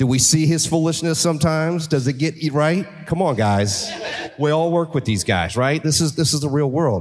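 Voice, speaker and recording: A man speaks at a moderate pace. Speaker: car dealership executive. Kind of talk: live panel conversation. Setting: stage with audience.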